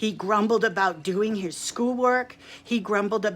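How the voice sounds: A natural reading voice is what you hear.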